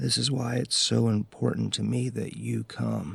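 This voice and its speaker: Delivered in a raspy, put-on character voice, the speech moves at a moderate pace. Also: man, very deep, low pitch for a man. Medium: audio drama. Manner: sincere, gently insistent.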